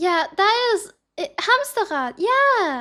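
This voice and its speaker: A woman with a German accent speaks in a bright, sharp tone with lively intonation, on a very clean recording with a silent background. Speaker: streamer. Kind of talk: live stream reaction commentary. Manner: halting.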